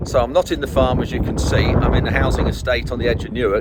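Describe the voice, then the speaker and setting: A man with a Lincolnshire accent at a very fast pace, noticeable background noise behind him. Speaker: farmer. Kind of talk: casual vlog. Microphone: no wind muffler.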